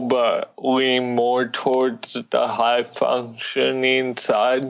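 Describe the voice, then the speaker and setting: A man with an American accent, medium pitch, monotone, flat intonation and a very slow pace. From California. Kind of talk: interview.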